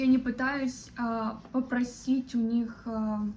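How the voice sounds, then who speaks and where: A woman speaks at a high pitch. Her intonation is monotone and flat. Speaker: vlogger. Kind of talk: personal reflection monologue. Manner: slow; halting, many fillers.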